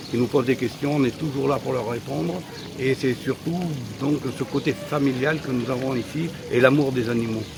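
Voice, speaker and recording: With noticeable background noise, a man talks at a moderate pace and medium pitch, using ordinary pitch variation. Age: 70s. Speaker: animal park owner. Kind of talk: interview. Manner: halting.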